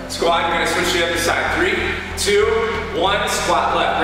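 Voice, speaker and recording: A man's fairly evenly intoned voice amid strong room echo, with clear music in the background. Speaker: fitness instructor. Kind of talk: workout instruction. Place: empty room.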